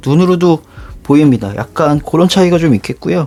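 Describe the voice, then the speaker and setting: A fairly high-pitched male voice over noticeable background noise. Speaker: shoe reviewer YouTuber. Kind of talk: product unboxing review.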